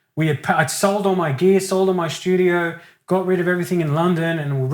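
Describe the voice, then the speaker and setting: Loud and very fast, a man with an Australian accent speaks at a high pitch with fairly even intonation. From Australia (Sydney), Italian-Australian family. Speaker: singer-songwriter. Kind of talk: casual interview chat.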